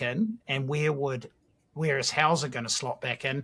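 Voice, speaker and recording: In a very clean recording with a silent background, a man with a New Zealand accent talks in a fairly high voice. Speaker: podcast host. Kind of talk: casual chat.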